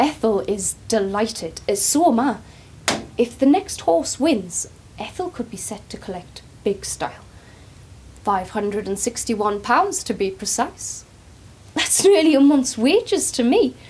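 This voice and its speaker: With long, frequent pauses, a woman speaks fairly slowly at a fairly high pitch, her pitch swinging very widely. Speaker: care home worker (carer). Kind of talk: dramatic monologue, casual talk to camera. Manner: chatty, warm, informal.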